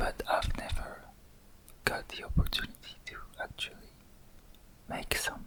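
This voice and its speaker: Whispering, a man leaves long, frequent pauses, his loudness swinging widely against noticeable background noise. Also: moderate pace. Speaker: ASMR creator. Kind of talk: whispered ASMR unboxing. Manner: soft-spoken, whispering.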